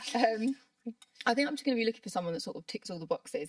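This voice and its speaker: A woman talks at a very fast pace with vocal fry, in a dry, close sound with no echo. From southern England. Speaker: brow artist. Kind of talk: interview.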